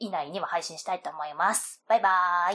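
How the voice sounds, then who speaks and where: At a moderate pace, a woman speaks in a plain, everyday voice with a fairly low pitch and ordinary pitch variation. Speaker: solo podcast host. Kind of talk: casual solo talk. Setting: home recording, window open.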